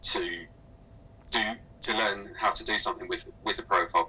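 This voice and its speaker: A man with a southern English accent. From southern England. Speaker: speech recognition software specialist; guest. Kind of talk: webinar Q&A. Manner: halting, many fillers. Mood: calm, explanatory. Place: home room.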